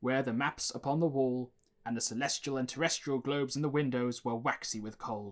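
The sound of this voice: An unforced reading voice carries through the whole clip.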